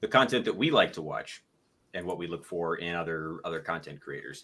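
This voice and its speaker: A man mumbles as he speaks. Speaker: gun YouTuber. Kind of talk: casual chat. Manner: mumbling. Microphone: a bit quiet.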